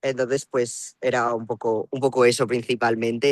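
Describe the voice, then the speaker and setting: A man's flat, monotone delivery at a moderate pace. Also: dry, close sound with no echo. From Spain, La Rioja (Logroño). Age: 20s. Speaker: student. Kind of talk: interview.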